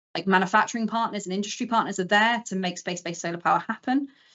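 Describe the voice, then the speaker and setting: A woman uses an ordinary speaking voice with a fairly high pitch. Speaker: space engineer. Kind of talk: conference talk. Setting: live stream presentation.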